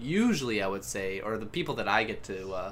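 Audible room echo surrounds a man's voice. He has a fairly low pitch and speaks at a moderate pace. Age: 20s. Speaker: podcast co-host. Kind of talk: casual chat.

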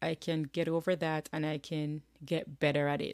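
With a Jamaican accent, a woman speaks fairly slowly at a fairly low pitch. The recording is very clean, with a silent background. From rural Jamaica. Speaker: podcast host. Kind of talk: solo motivational talk. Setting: home office.

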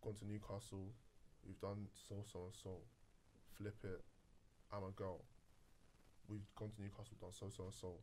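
A man with a fairly low, dark, mellow, somewhat breathy voice speaks at a moderate pace in a monotone, flat intonation, leaving long, frequent pauses. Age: 20s. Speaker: podcast host. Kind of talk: casual chat.

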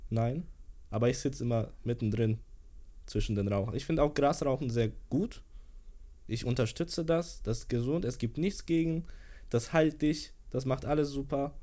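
With a dark, mellow tone and a fairly high pitch, a man speaks at a moderate pace with ordinary pitch variation and long, frequent pauses. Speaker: social media creator. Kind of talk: casual chat.

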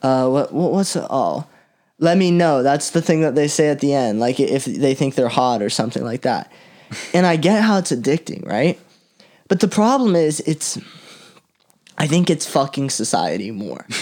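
Lively in intonation, a man with an American accent speaks at a moderate pace and a fairly high pitch. It is an ordinary speaking voice. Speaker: podcast host. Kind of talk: casual chat.

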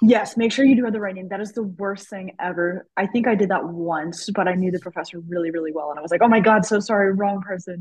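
Her voice somewhat breathy and medium in pitch, a woman talks at a very fast pace with ordinary pitch variation and big swings in loudness. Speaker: medical student podcast host. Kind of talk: casual chat.

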